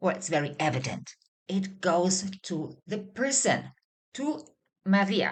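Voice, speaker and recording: A woman talks at a very slow pace with vocal fry, very wide pitch swings, and long, frequent pauses. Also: medium pitch for a woman. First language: not Hebrew. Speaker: Hebrew language teacher. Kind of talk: tutorial.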